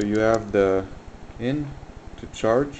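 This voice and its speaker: Fairly slow speech from a man with a slight French Canadian accent, amid noticeable background noise and audible room echo. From French Canada. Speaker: electronics hobbyist. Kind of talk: tutorial. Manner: hesitant, many fillers.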